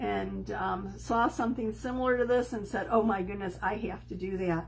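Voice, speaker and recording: A woman with a slight Chicago accent talks at a moderate pace, with noticeable background noise and audible room echo. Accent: slight Chicago accent on certain words. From Chicago, US Midwest. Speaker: crafting video host. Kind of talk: crafting tutorial livestream. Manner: casual, hesitant with many ums.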